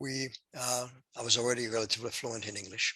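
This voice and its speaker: A man talks fairly quickly at a medium pitch, his tone bright and sharp. His intonation stays monotone and flat. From Poland. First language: Polish. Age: 80s+. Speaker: Holocaust survivor. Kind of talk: testimony.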